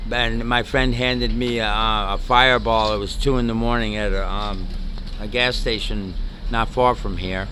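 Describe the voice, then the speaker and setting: With a slight New York accent, a man talks at a moderate pace amid noticeable background noise and audible room echo. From New York City. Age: 60s. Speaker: homeless retired navy chief. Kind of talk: street interview. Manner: halting.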